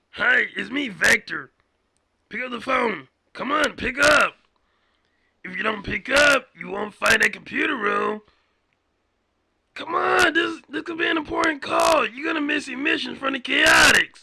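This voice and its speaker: A man performs a put-on character voice at an extremely high pitch, raspy and raised in a projected way. He moves at a moderate pace with long, frequent pauses. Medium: cartoon. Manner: pushy, rambling.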